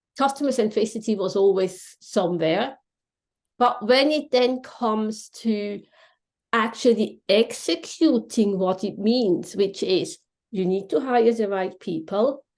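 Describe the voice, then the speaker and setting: A woman with a Swiss German accent, fairly high pitch, an animated tone, ordinary pitch variation and a fairly slow pace, over a quiet background. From Switzerland (Swiss German speaker). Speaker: contact centre consultant. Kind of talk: podcast interview.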